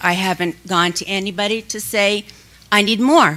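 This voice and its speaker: A woman speaks at a moderate pace with a bright, sharp tone and a medium pitch. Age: 70s. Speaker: public commenter at school board meeting. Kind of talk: public comment.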